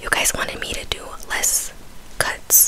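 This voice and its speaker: A woman is whispering. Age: 20s. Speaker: ASMR / mukbang creator. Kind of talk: casual talk to camera. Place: home room. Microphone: studio mic.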